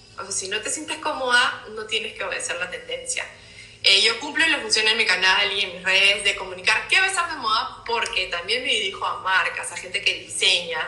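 Echo from the room is audible as a woman talks, with a noticeable amount of noise in the background. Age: 30s. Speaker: fashion designer and content creator. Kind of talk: casual interview chat. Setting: video call live stream, away from home city.

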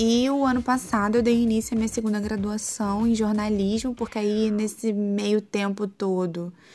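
On a very clean recording with a silent background, a woman with a fairly high pitch and a dark, mellow tone speaks at a moderate pace with monotone, flat intonation, very even loudness and hardly any pauses. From Rio de Janeiro, Brazil. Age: 30s. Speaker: podcast host. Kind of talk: personal monologue.

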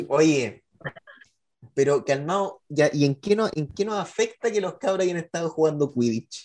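With a Chilean accent, a man speaks at a fairly high pitch. His intonation is lively. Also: fairly slow pace. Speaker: podcast co-host. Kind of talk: casual chat.

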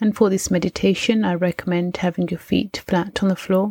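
In a dry, close sound with no echo, a woman speaks at a medium pitch, somewhat breathy, with fairly even intonation. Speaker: mindset coach and meditation teacher. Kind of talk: guided meditation. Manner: warm, encouraging.

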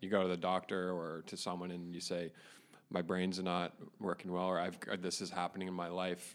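With a Canadian accent, a man talks at a moderate pace in a very deep, low voice. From Ontario, Canada (Caledon area). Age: 20s. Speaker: podcast co-host. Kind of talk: casual chat. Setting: boardroom.

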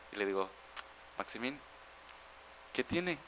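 At a fairly quick pace, a man's pitch swings very widely. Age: 20s. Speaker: math student. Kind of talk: casual chat.

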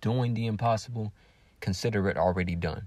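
A man with an American accent speaks at a fairly low pitch in a dark, mellow tone. The recording is very clean, with a silent background. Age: 20s. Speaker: religious podcaster and author. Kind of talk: solo reflective monologue.

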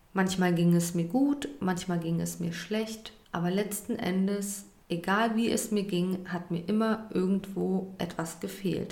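A woman speaks at a fairly slow pace with a medium pitch and fairly even intonation, while noticeable background noise plays underneath. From Germany. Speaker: podcaster and influencer. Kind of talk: personal testimony.

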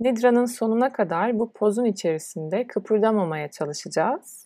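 This woman has an ordinary speaking voice. Her pitch variation is ordinary. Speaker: yoga teacher. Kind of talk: guided meditation. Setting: solo recording. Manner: slow, calm, soothing; soft-spoken, with long pauses.

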